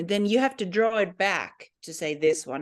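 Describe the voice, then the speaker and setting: A woman with a Finnish accent. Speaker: language teacher. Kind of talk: tutorial. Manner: hesitant.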